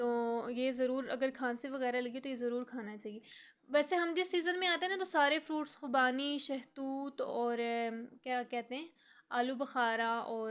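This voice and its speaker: Moderate pace, ordinary pitch variation and a high pitch from a woman. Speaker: vlogger. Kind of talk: casual vlog narration. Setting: outdoors.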